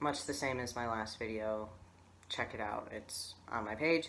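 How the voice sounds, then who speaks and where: Speaking slowly-ish amid audible room echo, a man uses a bright, sharp tone with fairly even intonation. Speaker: vlogger. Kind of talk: video diary. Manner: casual, many fillers.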